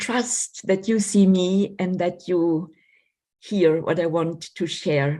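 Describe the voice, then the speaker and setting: Over a quiet background, a woman speaks very slowly at a medium pitch, her tone dark, mellow and somewhat breathy, with ordinary pitch variation. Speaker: doctor and lecturer. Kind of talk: lecture. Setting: video call.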